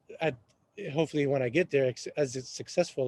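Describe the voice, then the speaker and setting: In an Arabic accent, a man talks with ordinary pitch variation. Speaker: real estate agent and café owner. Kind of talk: podcast interview. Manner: halting.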